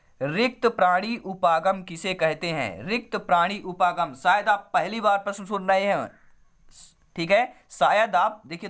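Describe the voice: A woman puts on a hoarse character voice at medium pitch. She speaks at a moderate pace.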